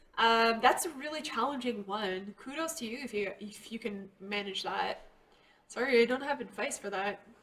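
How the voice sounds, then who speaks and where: Over noticeable background noise, a woman talks at a moderate pace in a fairly high voice, with ordinary pitch variation and big swings in loudness. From Quebec, Canada. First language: French. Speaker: art youtuber. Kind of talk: drawing livestream tutorial with chat. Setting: live stream. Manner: casual, hesitant with many ums.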